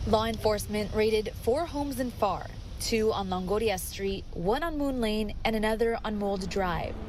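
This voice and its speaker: A woman talks at a moderate pace and a fairly high pitch, with hardly any pauses. Music plays in the background. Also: ordinary pitch variation. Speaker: TV news reporter. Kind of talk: TV news report.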